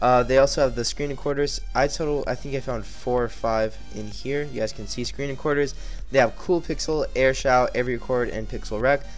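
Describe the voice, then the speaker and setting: Over music in the background, a man talks at a fairly quick pace with hardly any pauses. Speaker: tech YouTuber. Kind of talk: screen-recorded tech tutorial. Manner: monotone.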